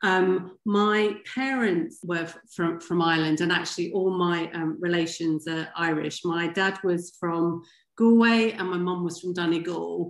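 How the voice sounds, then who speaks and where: This woman has a strong English accent and a fairly low pitch. She speaks fairly slowly with fairly even intonation and hardly any pauses. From England, Wimbledon near London. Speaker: former pro tennis player. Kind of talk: podcast interview.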